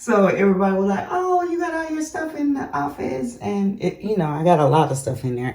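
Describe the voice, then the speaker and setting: A woman talks at a fairly quick pace with hardly any pauses, her medium pitch swinging very widely. Noticeable background noise runs underneath. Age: 60s. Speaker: lifestyle vlogger. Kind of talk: casual vlog chat. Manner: relaxed, conversational.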